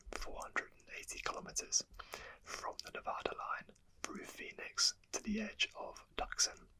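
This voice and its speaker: The voice is whispering in a relaxed tone. The pace is moderate. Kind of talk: ASMR history narration. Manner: whispered; soft-spoken, relaxed.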